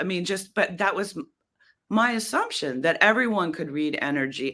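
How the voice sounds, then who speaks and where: In a very clean recording with a silent background, a woman with an American accent speaks in a bright, sharp tone. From US Northeast, Boston. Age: 60s. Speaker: poet. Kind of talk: podcast interview. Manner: calming; halting.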